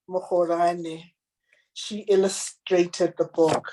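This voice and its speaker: Woman speaking at a very slow pace. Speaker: children's book author. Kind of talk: book reading; interview.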